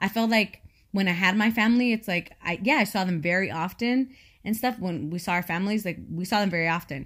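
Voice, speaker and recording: A woman's normal speaking voice at a medium pitch, with ordinary pitch variation, a fairly quick pace and a very clean recording over a silent background. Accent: American. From California. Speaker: podcast co-host. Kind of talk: casual chat.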